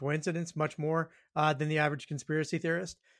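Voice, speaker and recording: The recording is very clean, with a silent background. On it, a man talks at a fairly high pitch. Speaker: political strategist. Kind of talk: casual chat. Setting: at home. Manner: joking.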